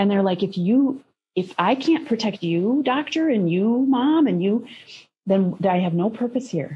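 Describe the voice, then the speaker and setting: A woman talks with an American accent, lively intonation and a somewhat breathy sound. Light background noise can be heard. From US Midwest, Minnesota. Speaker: parenting guest, intuitive counselor; guest. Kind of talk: interview conversation. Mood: earnest, reflective. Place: home room. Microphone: video call.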